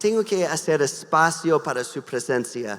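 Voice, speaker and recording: The speech moves at a very slow pace with lively intonation. A slight non-native accent can be heard. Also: man. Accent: slight foreign accent in Spanish. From US Midwest, Wisconsin. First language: English (speaking Spanish). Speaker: pastor and missionary. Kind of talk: sermon. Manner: halting, with many repeated words and fillers.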